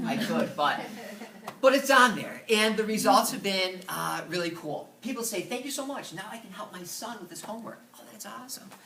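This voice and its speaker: A man with a high pitch speaks in a raised, projected voice, his loudness swinging widely and his pitch varying in an ordinary way. There is noticeable background noise and audible room echo. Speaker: middle school science teacher. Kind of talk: presentation. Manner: fast.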